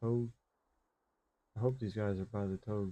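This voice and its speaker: The voice has an American accent and a dark, mellow tone. Its delivery is relaxed, with monotone, flat intonation. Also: man. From US, Maryland. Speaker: gaming live streamer. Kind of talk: live gameplay commentary chatting with viewers. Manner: casual, relaxed.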